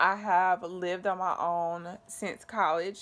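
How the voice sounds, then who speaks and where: A woman with an American accent speaks at medium pitch in a bright, sharp tone. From US South, North Carolina. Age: 20s. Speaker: vlogger sharing cancer story. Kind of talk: personal vlog testimony.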